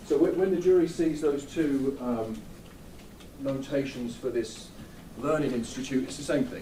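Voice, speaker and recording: The speech has ordinary pitch variation and long, frequent pauses. Noticeable background noise and audible room echo fill the recording. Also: man, fairly high pitch for a man. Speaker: defense attorney. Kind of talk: courtroom cross-examination. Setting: courtroom. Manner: fast; halting, repetitive.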